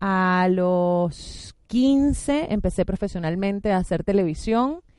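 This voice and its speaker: Against a quiet background, a woman talks at a medium pitch with ordinary pitch variation and a dark, mellow tone. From Venezuela. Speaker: actress. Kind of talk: interview. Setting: radio studio with cameras.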